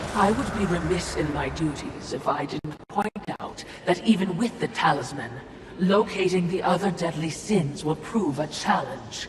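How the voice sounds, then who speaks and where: Set against clear background noise and a clear echo, a put-on character voice speaks at a middle pitch. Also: moderate pace. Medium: short film. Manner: fawning, wordy.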